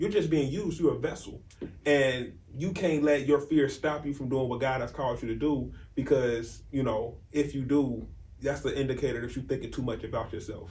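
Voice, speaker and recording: Audible room echo surrounds a man speaking at a moderate pace with a fairly high pitch and vocal fry. His pitch variation is ordinary. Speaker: faith podcast co-host. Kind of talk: casual chat. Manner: loud.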